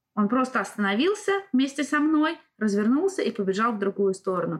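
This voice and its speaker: A woman speaks at a fairly quick pace, somewhat breathy, with lively intonation. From Russia. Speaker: driving instructor. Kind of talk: casual interview.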